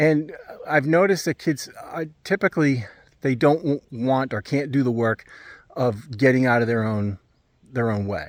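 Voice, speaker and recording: A man of medium pitch speaks at a moderate pace with ordinary pitch variation. He takes long, frequent pauses. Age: 60s. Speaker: family counselor and parent coach. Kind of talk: casual talking-head video. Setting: outdoors in backyard. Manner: halting, many fillers and restarts.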